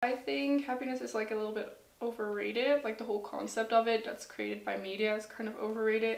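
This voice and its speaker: A woman with a Dutch accent speaks in a fairly high pitch that varies in an ordinary way. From Netherlands. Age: 20s. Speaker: student. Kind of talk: personal testimony interview. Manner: hesitant, with fillers.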